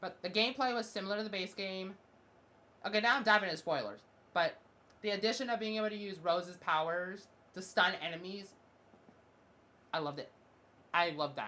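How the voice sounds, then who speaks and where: A woman speaks at a fairly quick pace in a bright, sharp tone. She leaves long, frequent pauses. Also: medium pitch for a woman, ordinary pitch variation. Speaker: gaming youtuber and streamer. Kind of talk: casual video game review monologue. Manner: fast; halting, with frequent restarts and fillers.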